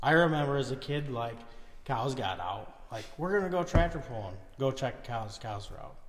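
Speaking at a moderate pace with an American accent, a man sounds somewhat breathy, with big swings in loudness and audible room echo. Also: medium pitch for a man, lively intonation. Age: 30s. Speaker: tractor puller. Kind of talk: casual chat.

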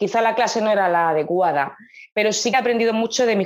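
This woman's pitch moves with ordinary variation. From Murcia, Spain. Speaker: jazz and soul singer. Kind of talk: interview.

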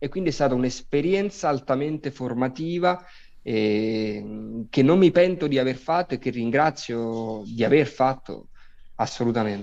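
Against a quiet background, a man speaks at medium pitch and a fairly slow pace with lively intonation. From Naples, Italy. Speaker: actor. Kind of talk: interview.

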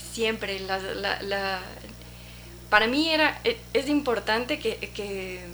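The speech moves at a very slow pace with lively intonation and long, frequent pauses. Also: woman, medium pitch for a woman. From Ecuador. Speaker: photographer. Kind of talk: interview. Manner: halting.

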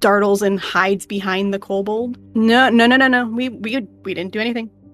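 An unforced reading voice carries the clip.

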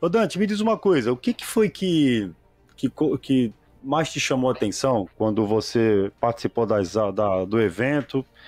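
The voice moves at a fairly slow pace with very wide pitch swings, its sound dry and close with no echo. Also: man, medium pitch for a man. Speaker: podcast host and HVAC business owner. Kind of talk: casual interview chat.

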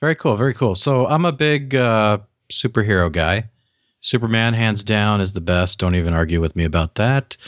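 A man speaks in a normal speaking voice at a moderate pace. His pitch is fairly low and his intonation lively. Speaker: podcast host. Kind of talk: casual interview. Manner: chatty, joking.

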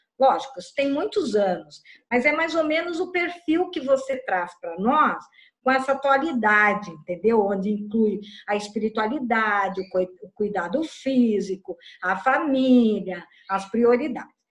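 Her fairly high voice swings very widely in pitch as the woman talks at a fairly slow pace. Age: 60s. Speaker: workshop participant. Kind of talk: casual chat.

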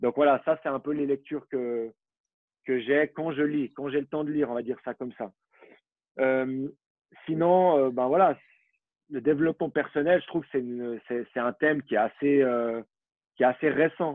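Pausing long and often, a man with a fairly high pitch speaks at a fairly slow pace with fairly even intonation. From Switzerland, Vaud (Vallorbe). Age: 20s. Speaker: former professional footballer. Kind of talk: interview.

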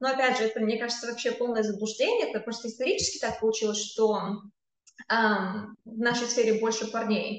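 In a room with audible echo, a woman with a fairly high pitch talks at a fairly quick pace in a monotone, flat intonation. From Kazakhstan. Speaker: tech company employee. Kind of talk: interview.

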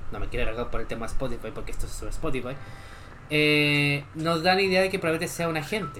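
Noticeable background noise accompanies fairly quick speech. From Chile. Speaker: gaming streamer and podcaster. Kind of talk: casual livestream chat. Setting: live stream.

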